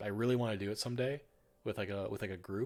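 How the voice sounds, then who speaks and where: Over a silent background in a very clean recording, a man talks at a very fast pace in a fairly low pitch. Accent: northern US. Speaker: streamer. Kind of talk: casual chat. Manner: halting.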